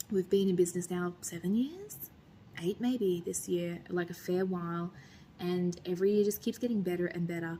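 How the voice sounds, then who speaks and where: Soft-spoken and somewhat breathy, a woman talks in a fairly low pitch with a dark, mellow tone and fairly even intonation. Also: moderate pace. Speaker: vlogger and restaurant owner. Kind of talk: casual vlog talk to camera.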